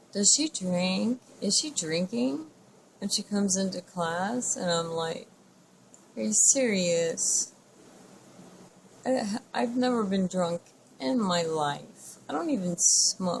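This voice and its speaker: A woman speaks very slowly at a medium pitch, her voice swinging very widely in pitch, with long, frequent pauses. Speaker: vlogger living with multiple sclerosis. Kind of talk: personal video diary. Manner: slurred speech.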